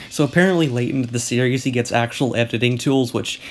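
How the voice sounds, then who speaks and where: Speaking at a very fast pace, a man talks at a medium pitch. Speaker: video essayist / commentary youtuber. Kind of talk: casual commentary narration. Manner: monotone.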